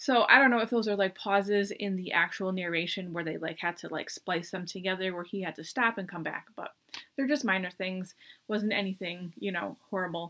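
Against a quiet background, a woman with an American accent talks at a fairly quick pace in a bright, sharp tone with ordinary pitch variation. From US. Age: 40s. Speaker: book reviewer. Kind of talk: casual chat. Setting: at home desk. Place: home room. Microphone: webcam.

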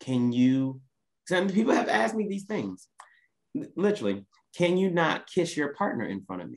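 A man with an Oklahoma accent talks with very wide pitch swings, big shifts in loudness, and long, frequent pauses. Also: fairly high pitch for a man, moderate pace. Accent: Oklahoma Southern American. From US South. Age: 30s. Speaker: business coach; podcast guest. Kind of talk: casual chat. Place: home room. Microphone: video call.

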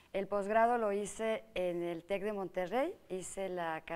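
Very slowly and with fairly even intonation, a woman talks. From Mexico, Morelia (Michoacán); Michoacán, Mexico. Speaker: state agriculture official and politician; politician. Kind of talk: TV interview. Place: studio. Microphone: lapel.

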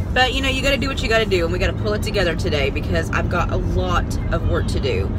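A woman at a very fast pace over loud background noise. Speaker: parent vlogger. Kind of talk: casual vlog chat. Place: car. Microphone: phone near.

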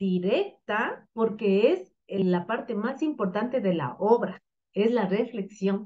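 A woman at a slow pace, her intonation lively. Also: medium pitch for a woman.

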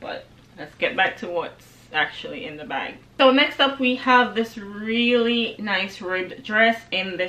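Speaking with a Jamaican accent, a woman goes at a fairly slow pace with ordinary pitch variation and big swings in loudness. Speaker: lifestyle vlogger. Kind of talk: casual talk to camera. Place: home room.

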